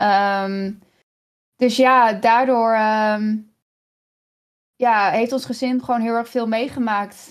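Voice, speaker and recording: The speech comes at a very slow pace with fairly even intonation and long, frequent pauses, on a very clean recording with a silent background. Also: woman, fairly high pitch for a woman. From Netherlands, Kampen. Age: 30s. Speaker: streamer. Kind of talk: interview conversation. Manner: halting.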